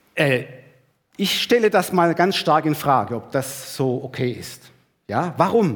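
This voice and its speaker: A man with a fairly high voice speaks at a very slow pace. His intonation is lively, with long, frequent pauses. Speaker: preacher. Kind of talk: sermon to a church congregation, with a livestream audience, teaching and exhorting. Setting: church hall with a live congregation and livestream.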